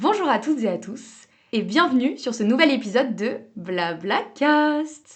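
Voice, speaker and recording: Her pitch is high, and she speaks at a fairly slow pace. This woman's voice has very wide pitch swings. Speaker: podcast host. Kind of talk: casual podcast interview.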